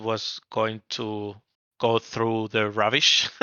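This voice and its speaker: A man speaks with a Barcelona accent. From Spain, Barcelona. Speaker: app company founder. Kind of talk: podcast interview.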